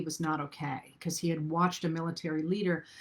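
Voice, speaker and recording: Here is a woman in a normal speaking voice, fairly low in pitch. She talks at a fairly quick pace in a very clean recording with a silent background. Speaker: historian. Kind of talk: lecture. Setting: livestream.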